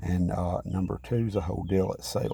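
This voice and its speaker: A soft-spoken man with a very deep, low pitch, a dark, mellow tone and vocal fry. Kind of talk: casual vlog talk. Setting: at home beside sleeping mother. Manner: soft-spoken, talking low.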